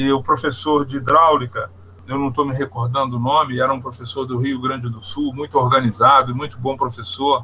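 Fairly quick, monotone, flat speech from a man at a medium pitch, amid noticeable background noise. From Minas Gerais, Brazil (Barbacena). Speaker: hydropower engineer. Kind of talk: interview.

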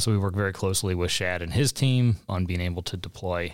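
The speaker has an American accent and a fairly quick pace with fairly even intonation. The recording is very clean, with a silent background. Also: man. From US Midwest (St. Louis, Missouri). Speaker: economic development executive. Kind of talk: interview.

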